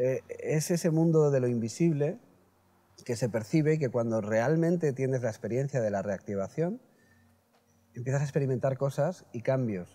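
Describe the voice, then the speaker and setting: Speaking in a dark, mellow tone, a man keeps a moderate pace with ordinary pitch variation. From Spain, Elche (Valencia region). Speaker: shaman and healer. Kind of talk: interview. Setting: at his home. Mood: calm, earnest. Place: garden.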